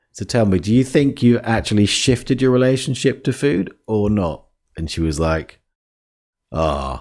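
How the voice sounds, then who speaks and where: A man speaks at a moderate pace with a fairly low pitch. His pitch swings very widely, and the recording is very clean with a silent background. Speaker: life coach podcast host. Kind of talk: podcast monologue. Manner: halting, with fillers.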